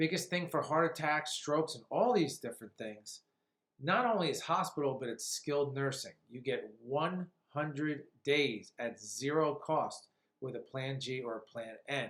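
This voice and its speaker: This man speaks with lively intonation at a fairly high pitch. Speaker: insurance agent. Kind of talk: explainer video with screen walkthrough. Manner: fast; casual, conversational.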